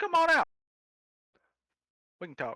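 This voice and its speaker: Putting on a character voice, a man drawls at an extremely high pitch. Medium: actual play. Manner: laid-back, drawling, says "man".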